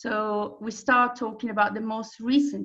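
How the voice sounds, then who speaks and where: With an Italian accent, a woman speaks at a fairly slow pace. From Italy. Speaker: tour operator presenter. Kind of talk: presentation.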